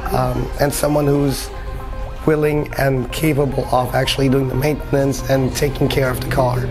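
The speaker talks at a moderate pace with clear music in the background. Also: man. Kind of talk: interview answer. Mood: relaxed, friendly. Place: shop. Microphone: lapel.

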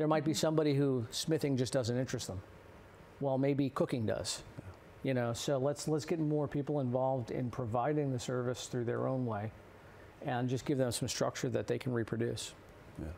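Fairly quick speech from a man with an American accent, a dark, mellow tone and ordinary pitch variation, over light background noise. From New Jersey. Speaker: blacksmith, pastor and Navy veteran; guest or co-host. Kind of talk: interview. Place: studio. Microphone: lapel.

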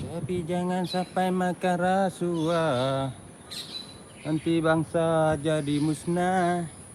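A man speaks in a high voice, very slowly. His intonation stays flat and monotone. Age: old. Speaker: live-streamer, tour vlogger. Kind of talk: live stream walking tour chat. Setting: outdoors, walking up a hill.

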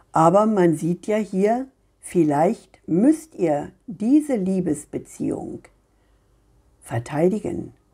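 Speaking very slowly with long, frequent pauses, a woman at a medium pitch swings her pitch very widely. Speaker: tarot card reader. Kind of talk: monologue reading cards for viewers. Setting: home video recording.

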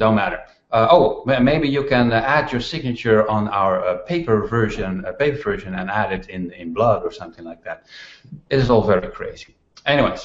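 A man speaks with big swings in loudness. Audible room echo is present. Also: moderate pace. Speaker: show host. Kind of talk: casual monologue and interview intro. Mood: wry, humorous complaint. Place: home room.

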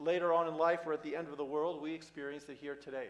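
This man speaks at a very fast pace. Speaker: priest. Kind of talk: sermon. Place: church. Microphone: camera far.

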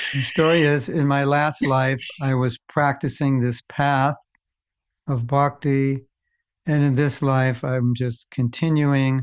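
A man's fairly high, monotone, flat voice at a very slow pace, with very even loudness, long, frequent pauses and a quiet background. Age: 70s. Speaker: spiritual teacher. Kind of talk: interview. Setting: video call. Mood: calm, reflective. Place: home room. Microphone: studio mic.

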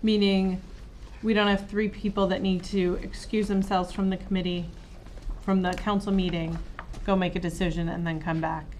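Monotone, flat delivery with light background noise. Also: woman, moderate pace. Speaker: city councilor. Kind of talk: council meeting discussion. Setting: council meeting room. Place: meeting room.

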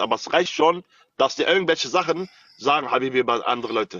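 With an animated tone, a man talks at a very fast pace, his sound dry with no echo. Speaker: TikTok live streamer. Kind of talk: heated live-stream argument. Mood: angry, threatening. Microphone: phone near.

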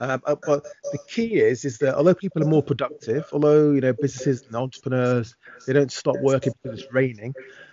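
The recording is dry with no echo as a man talks fairly quickly, his pitch varying in an ordinary way. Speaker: remote guest. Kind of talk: interview answer. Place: home room. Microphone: video call.

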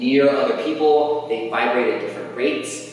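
A man's voice in strong room echo, with light background noise. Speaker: sound artist and music teacher. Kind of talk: panel discussion. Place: hall. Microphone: camera far.

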